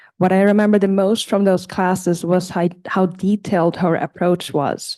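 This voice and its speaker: Against a quiet background, a dark, mellow tone comes through with a non-native accent. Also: woman. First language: not English. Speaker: community college student. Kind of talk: prepared testimonial read aloud. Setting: board meeting. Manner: halting, with self-corrections.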